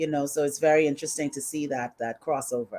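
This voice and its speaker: A woman with a Bahamian accent. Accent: Bahamian accent noticeable. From Bahamas. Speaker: HR consultant. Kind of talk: live stream interview.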